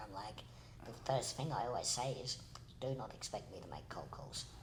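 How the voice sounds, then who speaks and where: A man at medium pitch and a fairly quick pace, with noticeable background noise and audible room echo. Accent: Australian. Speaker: podcast co-host. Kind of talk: casual chat.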